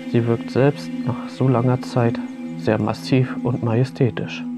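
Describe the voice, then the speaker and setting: The speech moves at a fairly slow pace over loud music in the background. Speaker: documentary narrator. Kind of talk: documentary narration.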